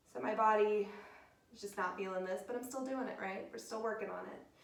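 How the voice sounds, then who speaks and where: A woman uses a put-on character voice, raspy and at medium pitch. She talks at a fairly quick pace with audible echo. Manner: strained.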